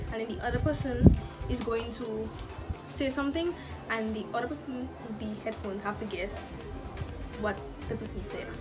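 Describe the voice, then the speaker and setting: Loud music plays in the background. The speech moves at a moderate pace. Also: woman. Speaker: YouTuber. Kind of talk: casual talk to camera. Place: home room. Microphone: phone near.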